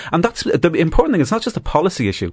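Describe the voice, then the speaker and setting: Against a quiet background, a man speaks with an Irish accent. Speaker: activist group chairman. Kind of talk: panel discussion.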